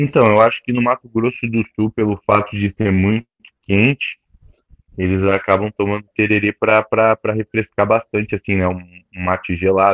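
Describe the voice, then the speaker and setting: At a moderate pace, this is an ordinary speaking voice with fairly even intonation and big swings in loudness. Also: man, fairly low pitch for a man. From southern Brazil (Caxias do Sul, then Criciúma). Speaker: jiu-jitsu instructor and grappler. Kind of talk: casual interview.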